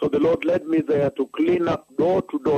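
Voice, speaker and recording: The voice moves at a moderate pace, with a dry sound and no echo. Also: man. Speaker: preacher on radio broadcast. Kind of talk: sermon. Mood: earnest, emphatic. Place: studio. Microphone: handheld.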